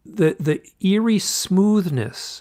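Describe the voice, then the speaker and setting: The speaker has an American accent, recorded very cleanly over a silent background. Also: man. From US Midwest, suburbs of Detroit, Michigan. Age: 60s. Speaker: author and UFO experiencer. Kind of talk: interview storytelling. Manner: halting.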